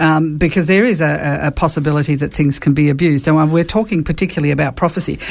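Her voice is very deep and low, with vocal fry. The woman talks at a very fast pace with hardly any pauses. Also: ordinary pitch variation, very even loudness. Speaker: radio host. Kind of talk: radio Q&A conversation. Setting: studio.

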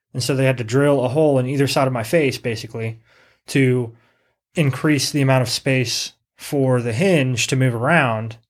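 A man speaks at a moderate pace and medium pitch in an unremarkable speaking voice. His intonation is fairly even, and the recording is very clean with a silent background. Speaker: podcast host. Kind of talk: casual banter, crude humor.

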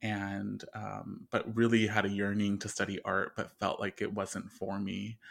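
A man with a Southern Californian accent speaks at a fairly slow pace with hardly any pauses. The recording is very clean and the background silent. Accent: Southern Californian American. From Southern California, Inland Empire. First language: Spanish. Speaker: artist and psychotherapist. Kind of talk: interview.

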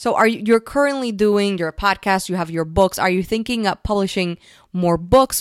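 A woman speaks at a moderate pace. The recording is very clean and dry, close, with no echo and a silent background. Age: 30s. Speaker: podcast host. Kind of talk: interview. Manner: halting, many fillers.

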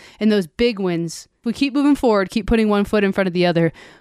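An ordinary speaking voice from a woman, medium in pitch, with ordinary pitch variation. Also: very clean recording, silent background. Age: 30s. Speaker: life coach and podcast host. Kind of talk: solo podcast monologue.

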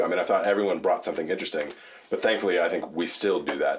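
A man rattles along at a very fast pace, with clear background noise behind him. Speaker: bass player and singer. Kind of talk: casual chat. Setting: studio.

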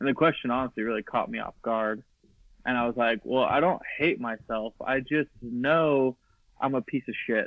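A man with an ordinary speaking voice holds a medium pitch, keeping his intonation fairly even at a moderate speed. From Idaho. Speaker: filmmaker. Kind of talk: casual interview chat.

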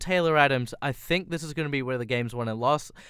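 A man with an Australian accent, fairly high pitch, ordinary pitch variation and a fairly quick pace. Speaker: football podcast host. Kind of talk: casual chat about football, fan analysis. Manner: conversational, analytical, tactical.

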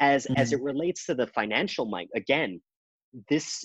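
A man with an unremarkable speaking voice uses lively intonation at a medium pitch, recorded dry and close with no echo against a quiet background. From Canada. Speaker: trading author and podcast host. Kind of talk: casual chat.

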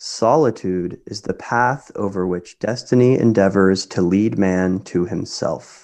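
Against a quiet background, a man with an American accent uses an unremarkable speaking voice, fairly low in pitch, at a fairly slow pace with ordinary pitch variation and hardly any pauses. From Kansas. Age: 20s. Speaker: medical school applicant, former music student. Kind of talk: casual interview chat.

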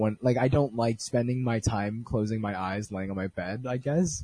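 This man's fairly low voice has a dark, mellow, somewhat breathy tone, moving at a moderate pace with ordinary pitch variation in a dry, close sound with no echo. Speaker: podcast host. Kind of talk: casual chat.

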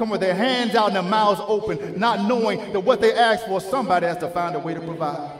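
With an American accent, a high-pitched man talks at a very fast pace in an animated tone with ordinary pitch variation, over noticeable background noise. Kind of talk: sermon. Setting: church. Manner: call-and-response, rhythmic preaching cadence.

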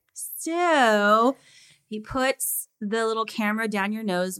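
A woman talks with lively intonation and an animated tone at a fairly high pitch. The recording is very clean with a silent background and a dry, close sound with no echo. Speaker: music teacher and opera singer. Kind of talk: casual interview chat. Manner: animated, laughs often.

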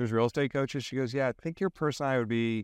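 In a very clean recording with a silent background, a man talks in a normal speaking voice at medium pitch. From Maryland, DC area. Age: 40s. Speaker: real estate coach. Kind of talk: interview.

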